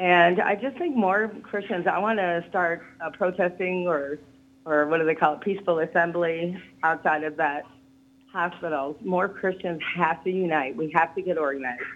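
A woman with an unremarkable speaking voice talks at a moderate pace, her pitch fairly low with ordinary variation. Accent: American. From US South. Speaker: caller. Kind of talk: heated rant about culture issues. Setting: phone call.

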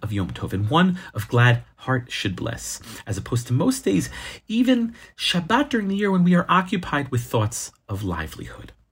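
A somewhat breathy man's voice, fairly high, with very wide pitch swings, in a very clean recording with a silent background. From lives in Israel. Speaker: rabbi. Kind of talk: scripted religious teaching.

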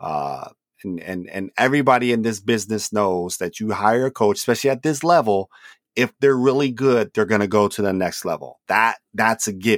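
An ordinary speaking voice from a man with an American accent, medium in pitch, at a moderate pace, with a dry, close sound and no echo. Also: very clean recording, silent background. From California. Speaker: sports historian, podcast co-host. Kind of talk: casual chat.

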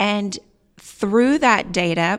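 A woman with a Midwestern US accent uses ordinary pitch variation on a very clean recording with a silent background. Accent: US Midwest. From Nebraska, Columbus. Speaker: winery owner. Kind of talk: interview.

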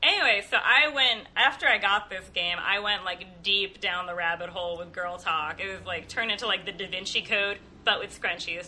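At a moderate pace and with hardly any pauses, a woman of medium pitch speaks with ordinary pitch variation over noticeable background noise. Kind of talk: casual comedic chat. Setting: home recording with makeshift equipment.

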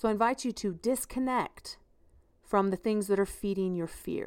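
The voice has a warm tone and ordinary pitch variation, recorded very cleanly over a silent background. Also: woman. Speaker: parenting podcast host. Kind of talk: pep talk. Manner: urgent, rousing, emphatic; warm, conversational, laughs often.

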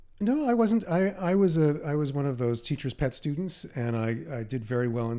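A man speaks with a New York accent. His tone is dark and mellow. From New York City, Queens. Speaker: author and podcast host. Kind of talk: interview.

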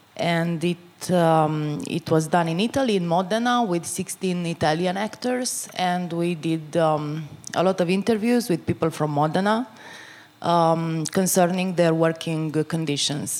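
The speaker goes at a fairly slow pace. Pitch varies in an ordinary way. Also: woman, fairly low pitch for a woman. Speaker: theater director and playwright. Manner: hesitant, searching for words.

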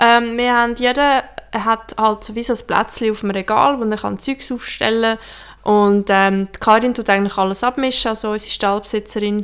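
A woman speaks in a fairly high, monotone, flat voice at a moderate pace. She hardly pauses, and her loudness swings widely. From Switzerland. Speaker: podcast co-host, horse rider. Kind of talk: casual chat.

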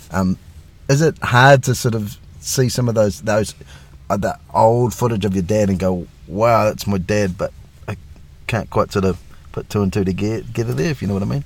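A man with a New Zealand accent at a moderate pace, pausing long and often. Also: fairly low pitch for a man, ordinary pitch variation. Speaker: podcast host, police constable. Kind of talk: interview. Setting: video call.

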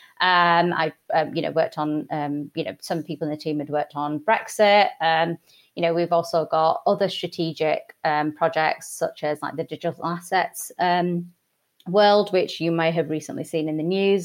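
Heard in a very clean recording with a silent background, a woman with a Yorkshire accent talks at a moderate pace and a fairly low pitch. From Yorkshire, England. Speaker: Goldman Sachs executive director. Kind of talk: casual interview chat. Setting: studio, in person in an office.

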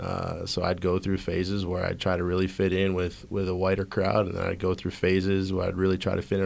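Flat and monotone, the speech runs at a very fast pace with hardly any pauses on a very clean recording with a silent background. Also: man. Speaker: high school principal. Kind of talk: panel discussion.

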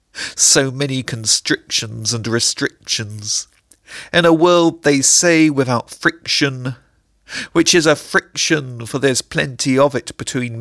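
Someone with an English accent speaks at a fairly slow pace on a very clean recording against a silent background. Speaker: poet. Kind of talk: comic spoken-word poem performance, rhyming wordplay. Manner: playful, sing-song tongue-twister rhythm; animated, absurdist comic delivery.

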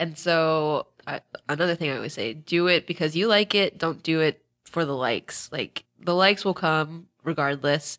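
A woman with a very deep, low pitch at a moderate pace, ordinary pitch variation, the sound dry and close with no echo, on a very clean recording with a silent background. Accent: American. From Northern Virginia. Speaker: social media manager. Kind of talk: casual chat.

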